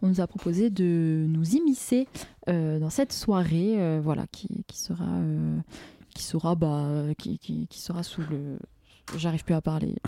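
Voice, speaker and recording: A woman speaks at a fairly slow pace in a dark, mellow tone with fairly low pitch. Her pitch variation is ordinary, on a very clean recording with a silent background. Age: 20s. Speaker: community radio host. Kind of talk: casual chat. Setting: studio.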